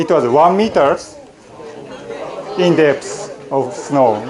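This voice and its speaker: Crowd noise fills the background and the room echo is audible. A man speaks at a very slow pace with lively intonation. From Japan, Miyagi Prefecture. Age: 40s. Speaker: college lecturer. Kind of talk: lecture. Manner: halting, with many fillers.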